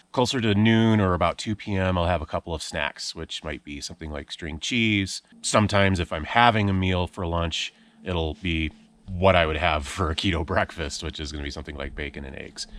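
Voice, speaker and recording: A man talks at a fairly quick pace with a very deep, low pitch, ordinary pitch variation and big swings in loudness. The recording is very clean with a silent background and a dry, close sound with no echo. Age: 40s. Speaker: outdoor vlogger. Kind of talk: vlog monologue while hiking. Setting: outdoors on a hiking trail.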